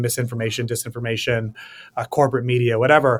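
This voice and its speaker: With an American accent, a man talks at a very fast pace in a medium pitch. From US, New York City. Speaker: policy researcher and author. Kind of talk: interview.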